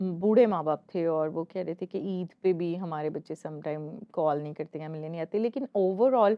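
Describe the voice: A woman speaks at a moderate pace. Her pitch is fairly low.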